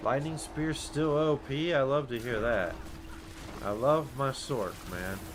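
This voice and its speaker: With audible room echo and noticeable background noise, a man in a fairly high voice speaks very slowly with lively intonation. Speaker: video game streamer. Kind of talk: live gameplay commentary. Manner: loud.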